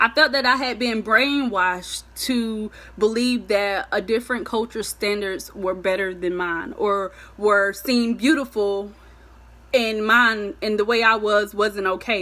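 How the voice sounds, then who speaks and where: This woman has an American accent and a fairly high pitch with a bright, sharp tone. She talks at a fairly slow pace in an animated tone with ordinary pitch variation. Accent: country (Southern US), per a hater's message. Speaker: vlogger. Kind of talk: motivational vlog talk.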